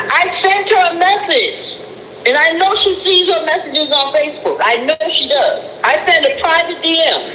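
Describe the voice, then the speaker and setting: A woman with an American accent uses a raised, projected voice at an extremely high pitch, with lively intonation and very even loudness. Audible room echo and noticeable background noise accompany her. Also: moderate pace. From Boston. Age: 60s. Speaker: caller, spiritual counselor. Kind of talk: casual chat.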